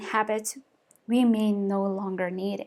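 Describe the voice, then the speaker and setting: Speaking at a fairly slow pace, a woman talks with a Mongolian accent. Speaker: lifestyle vlogger. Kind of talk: vlog monologue. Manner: halting.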